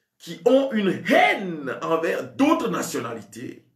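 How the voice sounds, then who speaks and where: Speaking at a very slow pace, a man talks with a Togolese accent. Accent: West African French (Togolese). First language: a Togolese language (speaking French). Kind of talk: sermon. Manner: halting, with many repetitions.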